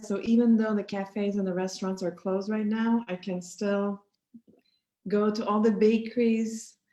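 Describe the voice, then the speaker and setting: A woman with a Quebec French accent speaks at a moderate pace in a fairly high, dark, mellow voice with flat, monotone intonation. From Quebec City. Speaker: sociology professor. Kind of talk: casual interview.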